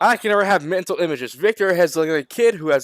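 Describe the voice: The clip is plain reading aloud.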